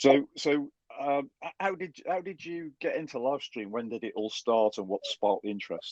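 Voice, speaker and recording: With lively intonation and a medium pitch, a man speaks at a moderate pace in a dry, close sound with no echo. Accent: Stoke. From Stoke-on-Trent, English Midlands. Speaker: podcast host. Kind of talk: podcast interview.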